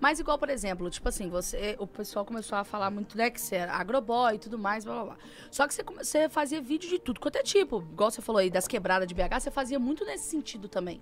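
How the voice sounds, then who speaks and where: A woman with a Belo Horizonte accent speaks at a very fast clip, her pitch fairly high and her intonation lively. Her loudness swings widely, she hardly pauses, and light noise sits in the background. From Belo Horizonte, Brazil. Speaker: podcast host. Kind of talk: podcast interview. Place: studio. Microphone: studio mic.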